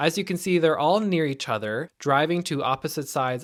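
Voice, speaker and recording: Against a silent background on a very clean recording, a man with an American accent talks at a fairly quick pace. His intonation is lively, in an unremarkable speaking voice. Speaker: travel vlogger. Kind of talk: travel vlog narration.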